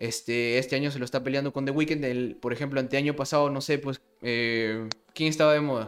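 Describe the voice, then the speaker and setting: In a Peruvian accent, a man talks at a fairly quick pace with a fairly high pitch. His intonation is monotone and flat. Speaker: podcast co-host. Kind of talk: casual chat. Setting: online voice call.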